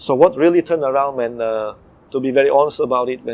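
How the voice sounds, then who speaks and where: A man with a Malaysian accent, very fast pace and fairly high pitch. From Eastern Europe (ex-communist country). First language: not English. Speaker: comedy impersonator. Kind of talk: interview.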